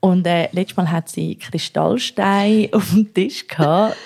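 A woman's dark, mellow tone at medium pitch, with fairly even intonation and a dry, close sound with no echo. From Zürich, Switzerland. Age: 20s. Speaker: podcast co-host. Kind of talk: casual chat. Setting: home kitchen.

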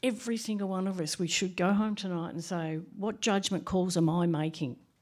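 On a very clean recording with a silent background, a woman with an Australian accent speaks at medium pitch with ordinary pitch variation. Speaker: HR practitioner. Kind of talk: panel discussion.

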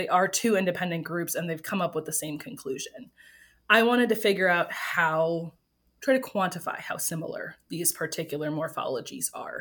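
A woman with an American accent and a normal speaking voice talks at a moderate pace and medium pitch with ordinary pitch variation, on a very clean recording with a silent background. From Wisconsin, US Midwest. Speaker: evolutionary biologist. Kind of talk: interview.

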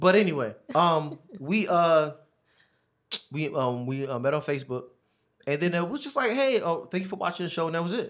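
A man with a high pitch speaks at a moderate pace, his intonation lively. He leaves long, frequent pauses, and the recording is very clean with a silent background. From US Northeast, North Philadelphia. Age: 30s. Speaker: ministry founder. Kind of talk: testimony. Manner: casual, many fillers.

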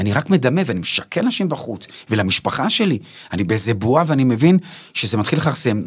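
Using vocal fry, a man talks at a fairly quick pace with very wide pitch swings. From Israel, Bnei Brak. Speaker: actor and stand-up comedian. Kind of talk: casual interview.

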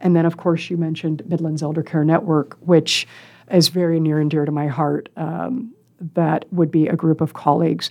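With an American accent, a woman talks at a moderate pace in a very deep, low voice, her intonation fairly even. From Iowa, US. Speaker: guest on aging topics. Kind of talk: radio interview. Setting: studio.

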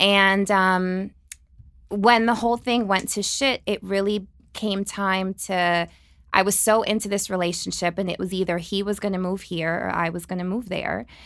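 A woman with an American accent speaks in a plain, everyday voice at medium pitch and a moderate pace. Her intonation is fairly even, and the recording is very clean with a silent background. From New Jersey. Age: 30s. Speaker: guest, aspiring dance studio owner. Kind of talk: casual chat. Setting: studio.

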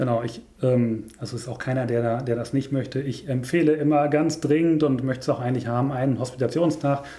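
Speaking at a fairly quick pace with hardly any pauses, a man sounds somewhat breathy, with a medium pitch and fairly even intonation. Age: 30s. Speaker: nursing director. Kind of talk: casual interview.

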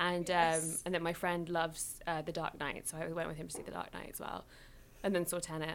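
A woman with a British accent speaks at a fairly quick pace in a monotone, flat intonation. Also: fairly low pitch for a woman. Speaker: YouTuber and writer. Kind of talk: casual chat.

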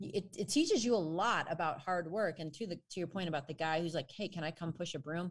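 A woman talks at a very fast pace with hardly any pauses, in an American accent. Her fairly low, somewhat breathy voice shows ordinary pitch variation. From US Midwest, Chicago northwestern suburbs. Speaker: exercise scientist and personal trainer. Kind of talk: casual chat.

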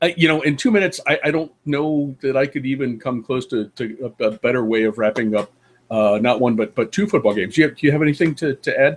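A man talks at a very fast pace. His medium-pitched voice has lively intonation. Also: hardly any pauses. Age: 50s. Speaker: college football podcast co-host. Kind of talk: casual chat. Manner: halting.

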